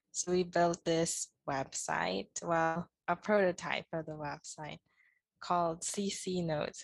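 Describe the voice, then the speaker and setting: A woman's plain, everyday voice, fairly low in pitch, with fairly even intonation, a dry, close sound without echo and a quiet background. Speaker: student podcast co-host. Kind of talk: casual interview.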